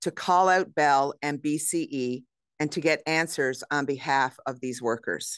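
A woman speaks very slowly at a very deep, low pitch with ordinary pitch variation. The sound is dry with no echo, over a quiet background. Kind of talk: press conference statement. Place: hall.

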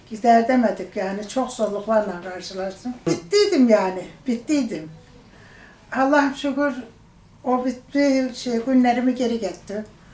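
The background carries noticeable noise. A woman talks at a fairly slow pace. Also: fairly high pitch for a woman, ordinary pitch variation. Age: 70s. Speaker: diabetes surgery patient. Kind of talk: patient testimonial.

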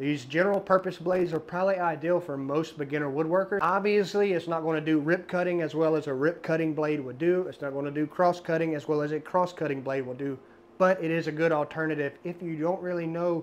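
Fairly quick in pace, the talking keeps a fairly even intonation. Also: man, high pitch for a man. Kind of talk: tutorial. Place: workshop. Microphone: lapel.

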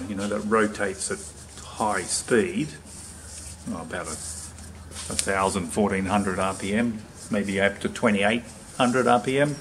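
A man with a fairly low pitch over light background noise. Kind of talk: tutorial. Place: workshop. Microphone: phone near.

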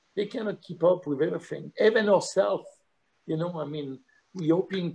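A man speaks in a high voice with ordinary pitch variation. He talks with a French accent. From France, Lyon area. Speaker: chef and restaurant owner. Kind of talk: casual chat.

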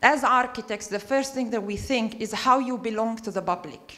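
A woman speaks in a high voice with ordinary pitch variation. The background is quiet. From Palestine. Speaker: architect. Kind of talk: audience comment in discussion. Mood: thoughtful, earnest. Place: hall.

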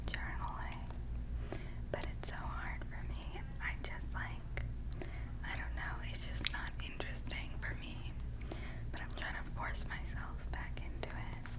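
Loud background noise fills the clip. Through it, a woman speaks at a fairly slow pace. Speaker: ASMR creator. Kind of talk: whispered ASMR storytime. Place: home room. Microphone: studio mic.

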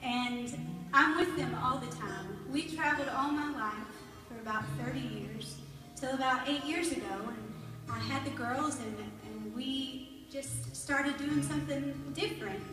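Over clear background music, a woman speaks at a fairly slow pace with audible room echo. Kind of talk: stage talk, personal story. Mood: warm, heartfelt. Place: church.

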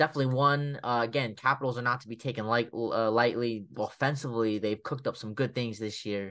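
A man's medium-pitched voice at a very fast pace with hardly any pauses, big swings in loudness and fairly even intonation, over a quiet background. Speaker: hockey podcast co-host. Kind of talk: casual sports chat. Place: home room.

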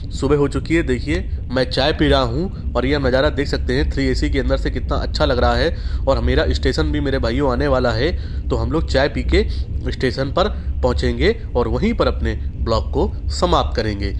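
Music plays in the background as a man speaks with a very deep, low pitch. His loudness stays very even, with fairly even intonation at a moderate pace. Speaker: travel vlogger. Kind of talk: casual vlog chat. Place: train. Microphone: phone near.

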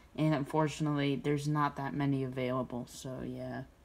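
Her speech moves along at a moderate pace, the speaker being a woman. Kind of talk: casual tour narration. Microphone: phone near.

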